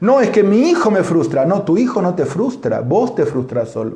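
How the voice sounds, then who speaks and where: A man's animated, high-pitched voice with a Rioplatense accent and very wide pitch swings, plus noticeable background noise and audible room echo. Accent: Argentine Rioplatense Spanish. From Argentina. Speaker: pastor. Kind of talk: sermon; church announcements.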